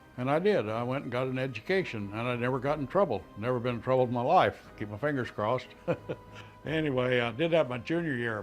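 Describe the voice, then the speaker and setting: Over music in the background, a man with an American accent talks at a fairly quick pace, at medium pitch with ordinary pitch variation. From Colorado, US. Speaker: war veteran. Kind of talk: oral history interview. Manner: halting, frequent uh fillers.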